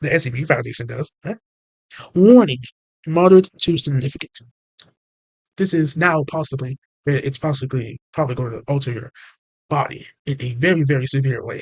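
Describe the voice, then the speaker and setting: Somewhat breathy and fairly high-pitched, a man speaks at a fairly quick pace with ordinary pitch variation and long, frequent pauses, the sound dry and close with no echo. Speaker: channel owner explaining SCP lore. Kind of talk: casual explainer video. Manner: halting.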